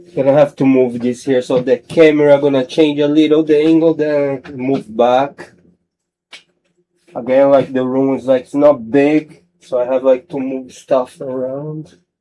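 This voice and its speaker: A man with a non-native accent speaks at a fairly high pitch in a dark, mellow tone, with monotone, flat intonation and big swings in loudness. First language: not English. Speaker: sim racing streamer. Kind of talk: casual live stream chat. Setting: home studio live stream. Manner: halting, many fillers.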